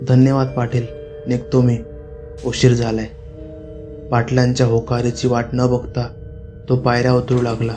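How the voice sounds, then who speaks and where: Monotone, flat intonation from a man at a medium pitch, with music in the background. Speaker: horror storyteller. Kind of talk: Marathi horror story narration. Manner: narrating in storytelling style.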